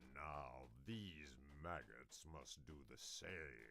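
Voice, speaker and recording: A man speaks very slowly in a put-on character voice, growling as he goes. Background noise is clearly audible. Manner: commanding, harsh.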